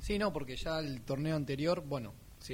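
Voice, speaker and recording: A somewhat breathy man at a moderate pace. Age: 20s. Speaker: sports radio panelist. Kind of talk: casual sports talk radio.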